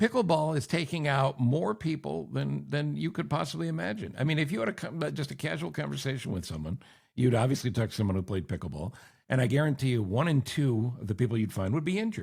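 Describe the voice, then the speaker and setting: Medium-pitched male voice with vocal fry, very wide pitch swings, and a very fast pace, on a very clean recording with a silent background. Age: 60s. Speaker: podcast host, former radio host. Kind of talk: casual chat.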